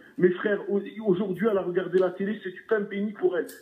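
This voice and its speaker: At a very fast pace, a man talks in a high pitch with fairly even intonation. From southern France. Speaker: caller. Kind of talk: heated call-in discussion. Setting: phone call. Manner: halting, repeats words.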